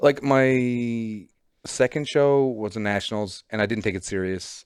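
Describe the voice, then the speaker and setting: A man with a Newfoundland accent speaks at a fairly slow pace in a medium pitch with ordinary pitch variation, on a very clean recording with a silent background. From Newfoundland, Canada. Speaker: professional bodybuilder. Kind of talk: casual chat.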